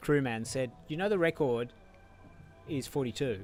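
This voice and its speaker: A man with an Australian accent at a moderate pace, lively in intonation. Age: 60s. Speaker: ultrarunner. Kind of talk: live interview.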